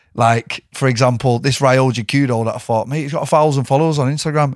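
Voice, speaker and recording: In a very clean recording with a silent background, a man with a Mancunian accent talks at a very fast pace at a medium pitch. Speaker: MMA fighter. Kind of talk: casual chat.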